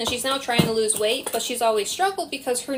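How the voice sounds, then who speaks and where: In an animated tone, a woman speaks at a fairly high pitch. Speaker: herbal product maker and live-stream host. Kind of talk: live tutorial chat. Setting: live stream. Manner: fast.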